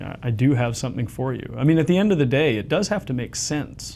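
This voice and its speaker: Audible room echo follows this man's voice as he talks. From Canada, London Ontario. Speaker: theologian and former journalist. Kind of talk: interview conversation.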